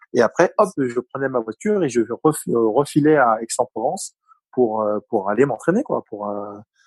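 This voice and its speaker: Speaking at a moderate pace with a Parisian accent, a man uses lively intonation at a medium pitch, recorded dry and close with no echo. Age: 40s. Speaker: retired taekwondo athlete. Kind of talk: interview. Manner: halting, many fillers.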